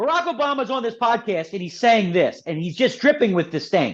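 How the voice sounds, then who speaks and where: A man speaks in an animated way with a Philadelphia accent, his pitch extremely high and swinging very widely. The background is quiet. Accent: Philadelphia American English. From Philadelphia, US. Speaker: author and political commentator. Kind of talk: podcast interview.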